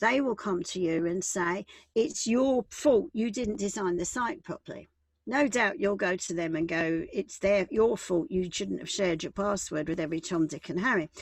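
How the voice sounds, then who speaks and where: Moderate pace and lively intonation from a woman of medium pitch with a British accent. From UK. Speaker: business and employment law advisor. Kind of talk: online workshop presentation.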